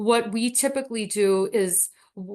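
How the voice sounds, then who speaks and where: A woman talks in a normal speaking voice. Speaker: dietitian presenter. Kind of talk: webinar Q&A.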